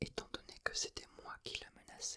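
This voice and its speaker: Someone whispers in a calm tone at a very slow pace. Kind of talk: whispered ASMR book reading for sleep. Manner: whispered, soft, calm.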